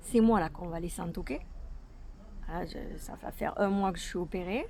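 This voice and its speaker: A woman with a dark, mellow tone speaks at a medium pitch and a moderate pace, with ordinary pitch variation. Room echo is audible. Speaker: vlogger. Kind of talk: casual vlog. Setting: outdoors in garden.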